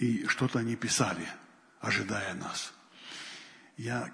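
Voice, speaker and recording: Over noticeable background noise, a man with a medium-pitched voice talks at a fairly slow pace. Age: old. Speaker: pastor. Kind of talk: sermon.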